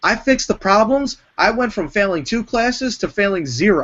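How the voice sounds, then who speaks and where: A man at a moderate pace with lively intonation. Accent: New York. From New York. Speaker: wrestling entertainer. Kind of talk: casual chat.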